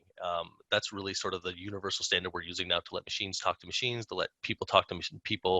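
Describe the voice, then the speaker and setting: With a Canadian accent, a man speaks very fast. His pitch is fairly low. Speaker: sales engineer. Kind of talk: conference talk. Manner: hesitant, many fillers.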